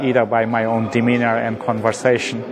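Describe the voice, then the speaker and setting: A man speaks at a medium pitch, with noticeable background noise in the clip. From Bangladesh. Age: 50s. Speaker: professor. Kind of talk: interview.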